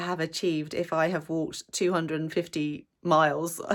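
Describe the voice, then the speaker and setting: In a very clean recording with a silent background, a woman speaks at a fairly low pitch in a monotone, flat intonation. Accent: English. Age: 50s. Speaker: vlogger. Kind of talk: casual vlog talk to camera.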